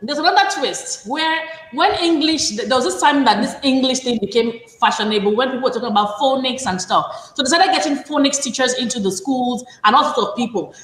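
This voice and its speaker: A woman speaks at a high pitch and a fairly quick pace, with lively intonation and hardly any pauses. Music plays in the background, and room echo is audible. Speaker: show host and school owner. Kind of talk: panel discussion. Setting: livestream.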